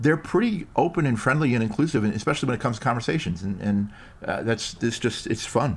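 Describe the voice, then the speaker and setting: A man speaks very fast in an American accent, his medium-pitched voice somewhat breathy. His intonation is lively, and the recording is very clean with a silent background. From New York. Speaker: improv performer and coach. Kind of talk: casual interview chat.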